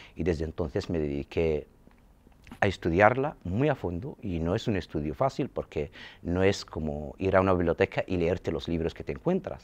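A man's very deep, low voice with lively intonation. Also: moderate pace. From Saharawi refugee camps; Western Sahara. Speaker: film school director; interviewee. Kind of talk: interview. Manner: halting. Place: empty room. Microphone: lapel.

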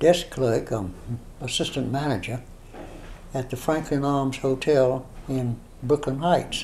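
The speech moves at a very slow pace with ordinary pitch variation. Light background noise runs underneath. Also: man. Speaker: interviewee recounting literary history. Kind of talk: interview answer. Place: home room.

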